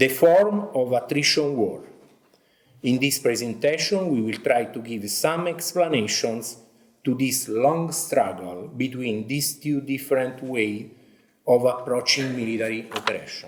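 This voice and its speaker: A man with an Italian accent speaks fairly slowly in a medium-pitched voice, with audible room echo. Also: ordinary pitch variation. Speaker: army officer and military history teacher. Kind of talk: conference presentation.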